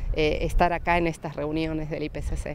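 The sound is dry, with no echo. A woman talks at a fairly slow pace. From Argentina. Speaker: environmental economist, report author; report author. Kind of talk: interview statement. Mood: pleased, smiling. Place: garden.

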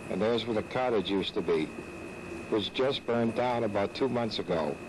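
Noticeable background noise sits behind the speech. A man talks at a fairly quick pace with ordinary pitch variation. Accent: American. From northeastern Pennsylvania. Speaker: nostalgic amateur videographer. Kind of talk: handheld-camera tour guide narration, nostalgic, pointing out lost landmarks. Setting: outdoors. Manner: wistful, reminiscing; incredulous and dismayed. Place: open country. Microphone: old recording.

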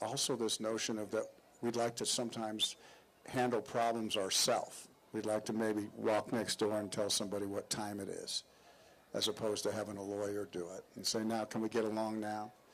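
Here a man talks at a fairly quick pace in a fairly low pitch. His intonation is monotone and flat. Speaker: guest. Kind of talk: interview answer. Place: street. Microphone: handheld.

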